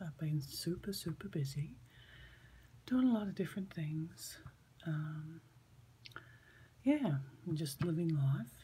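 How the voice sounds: In an Australian accent, a woman speaks fairly slowly with long, frequent pauses, her very deep, low voice somewhat breathy, dark and mellow, with lively intonation.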